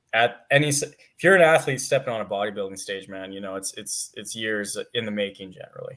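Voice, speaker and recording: In a western Canadian accent, a man speaks at a fairly quick pace. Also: very clean recording, silent background. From Canada, Alberta. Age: 20s. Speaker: amateur bodybuilder. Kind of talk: casual interview chat.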